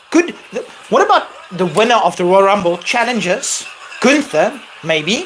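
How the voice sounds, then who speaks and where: With noticeable background noise, a man speaks in an animated tone, his voice high for a man, with a non-native accent. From South Africa. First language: not English. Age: 30s. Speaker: wrestling streamer. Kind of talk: live stream Q&A chat. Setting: live stream.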